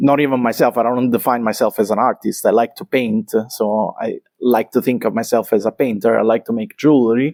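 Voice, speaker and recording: With an Italian accent, a man speaks at medium pitch and a fairly quick pace, with fairly even intonation, hardly any pauses, and a dry, close sound with no echo. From Italy, Naples. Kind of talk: interview conversation. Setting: artist's studio. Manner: halting, many fillers.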